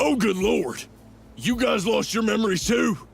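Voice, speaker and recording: Over clear background music, a man puts on a raspy character voice, high-pitched with lively intonation, at a moderate pace. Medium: video game. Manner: dim, blustering.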